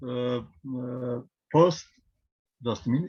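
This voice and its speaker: At a medium pitch, a man talks with a Serbian accent. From Serbia, Belgrade. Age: 50s. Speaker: priest and genealogy presenter. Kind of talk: presentation. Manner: halting, many fillers.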